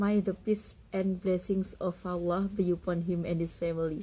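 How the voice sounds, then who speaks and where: A woman speaks fairly slowly at a medium pitch, her tone dark and mellow, somewhat breathy, with flat, monotone intonation. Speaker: content creator. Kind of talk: personal vlog monologue.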